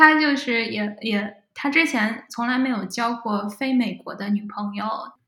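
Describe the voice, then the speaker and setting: Amid noticeable background noise, a woman talks fairly slowly in a fairly high voice with ordinary pitch variation. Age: 20s. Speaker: data scientist. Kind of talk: casual interview chat.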